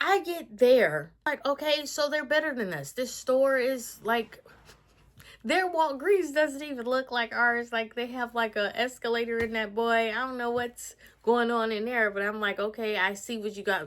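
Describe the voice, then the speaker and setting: A woman's high-pitched voice, animated in tone, with lively intonation at a moderate pace. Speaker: vlogger. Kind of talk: casual vlog. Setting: hotel room.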